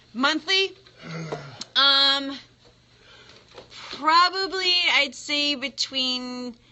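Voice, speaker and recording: Noticeable background noise surrounds very slow speech that is broken by long, frequent pauses. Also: woman, high pitch for a woman, ordinary pitch variation. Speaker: small business marketing person. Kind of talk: prank call.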